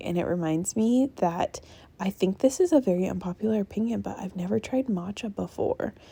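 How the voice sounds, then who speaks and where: A quiet, raspy, whispering put-on character voice from a woman at a fairly quick pace. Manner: hushed, whispering like a secret.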